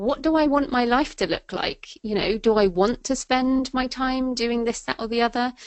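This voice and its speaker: Speaking with an English accent, a woman has a fairly high pitch. Her pace is moderate and her pitch variation ordinary. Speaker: thriller and nonfiction author. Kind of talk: interview. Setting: webinar. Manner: casual, many fillers.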